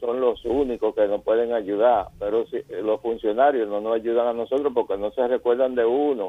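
Delivered at a moderate pace with fairly even intonation, this is a normal speaking voice. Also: man. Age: 60s. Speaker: caller, retiring doctor. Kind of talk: call-in complaint.

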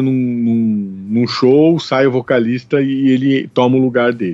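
Music playing behind a man's voice of medium pitch. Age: 40s. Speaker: podcast co-host, academic. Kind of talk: casual chat about film. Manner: halting, with repeated fillers.

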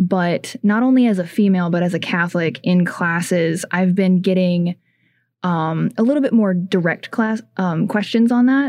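An unremarkable speaking voice: a woman at medium pitch and moderate pace, very even loudness, ordinary pitch variation, on a very clean recording with a silent background. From Ohio, small town. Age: 20s. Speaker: student group president. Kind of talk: casual radio interview.

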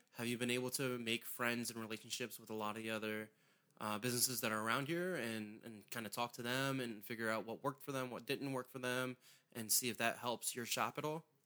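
Talking at a very fast pace with an American accent, a man uses a medium-pitched voice with a bright, sharp tone and fairly even intonation. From southern Maryland, US. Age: 30s. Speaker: podcast host. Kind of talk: casual interview.

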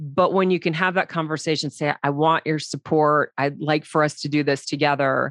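A woman's very deep, low voice at a moderate pace, monotone and flat, very even in loudness and with hardly any pauses, dry and close with no echo, over a quiet background. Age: 40s. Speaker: podcast host. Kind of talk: interview.

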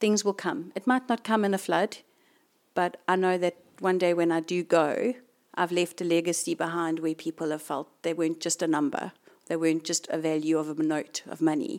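A woman with a fairly low pitch and a normal speaking voice talks at a moderate pace with ordinary pitch variation on a very clean recording with a silent background. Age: 40s. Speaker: fitness instructor and coffee shop owner. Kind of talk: interview. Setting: in her gym.

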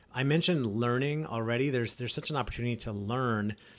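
On a very clean recording with a silent background, a man talks fairly quickly at a medium pitch with fairly even intonation, in an ordinary speaking voice. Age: 40s. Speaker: podcast host, entrepreneur and coach. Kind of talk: solo podcast monologue. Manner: casual, conversational.

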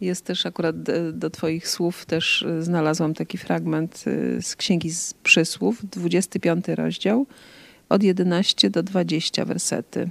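The sound is close and dry, without any echo. A woman speaks very slowly. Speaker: co-host interviewer. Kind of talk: casual chat.

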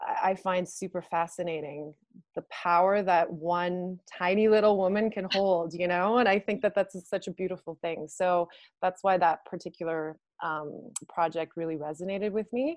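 A woman speaks at a moderate pace in a plain, everyday voice, her medium pitch held to a fairly even intonation. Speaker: stylist and film crew member. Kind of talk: panel discussion. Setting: video call.

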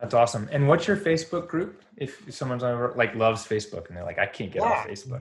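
Talking at a very fast pace with hardly any pauses, a man with a medium pitch and a somewhat breathy voice makes very wide pitch swings and big swings in loudness. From North Carolina. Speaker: podcast host, physical therapist and business coach. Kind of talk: interview.

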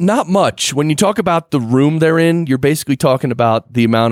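A plain, everyday voice comes through with lively intonation at a fairly quick pace, in a dry, close sound with no echo. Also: man. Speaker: podcast guest, audio engineer. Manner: explanatory, relaxed.

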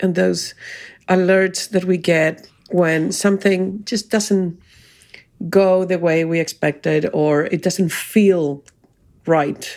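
On a very clean recording with a silent background, a woman speaks very slowly at a medium pitch. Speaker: podcast co-host. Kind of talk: casual conversational podcast.

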